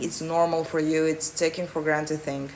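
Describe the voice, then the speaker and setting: This woman speaks with a non-native accent. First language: not English. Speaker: manifestation coach. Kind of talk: live Q&A answering chat. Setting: livestream.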